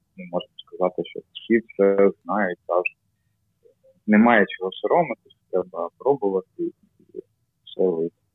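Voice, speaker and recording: A man talks with a Russian accent. His pace is fairly slow. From Kyiv, Ukraine. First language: Russian (speaking Ukrainian). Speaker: amateur cycling team member. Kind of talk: casual chat. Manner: halting.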